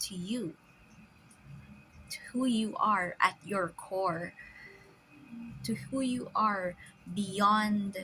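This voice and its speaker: With music in the background, a woman speaks at a very slow pace with long, frequent pauses, using a medium pitch and ordinary pitch variation. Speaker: spiritual commentator. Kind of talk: casual spiritual musing to camera. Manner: halting, stammering, stop-start.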